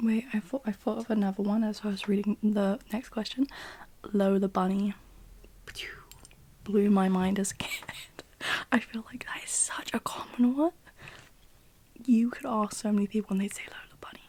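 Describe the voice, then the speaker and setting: Soft-spoken and fairly high in pitch, a woman talks at a moderate pace with fairly even intonation, long, frequent pauses and big swings in loudness. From British. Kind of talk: ASMR Q&A, casual rambling.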